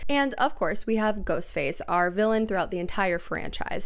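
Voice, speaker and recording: A woman with a fairly high pitch speaks in an animated tone with lively intonation. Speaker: YouTuber, film commentator. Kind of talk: video essay.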